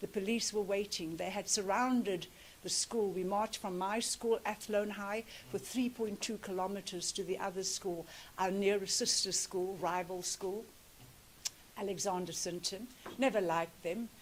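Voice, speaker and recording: The speaker has a South African accent. The pace is moderate, and the intonation is fairly even. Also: woman, medium pitch for a woman. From South Africa, Cape Flats (Cape Town). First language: Afrikaans. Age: 60s. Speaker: activist speaker. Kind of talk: commemorative speech.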